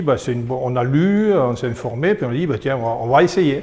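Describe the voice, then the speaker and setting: Ordinary pitch variation from a man speaking at a moderate pace. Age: 60s. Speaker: retiree and expatriate. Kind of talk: interview testimony. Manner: hesitant, many fillers.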